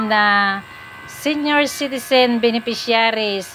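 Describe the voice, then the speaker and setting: A woman talks with music in the background. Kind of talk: vlog narration.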